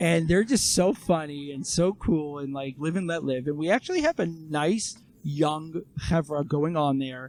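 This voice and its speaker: A man with an American accent, fairly high pitch and hardly any pauses. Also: ordinary pitch variation, fairly slow pace. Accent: sounds American in English. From Toronto, Canada, then Israel from age 9. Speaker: emergency first responder, guest. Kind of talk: casual podcast interview. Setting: seated in person, building work nearby.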